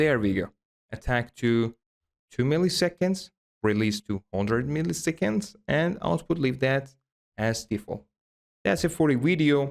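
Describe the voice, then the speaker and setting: A man at a fairly slow pace and medium pitch, with very wide pitch swings, very even loudness and long, frequent pauses. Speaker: tech youtuber. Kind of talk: tutorial.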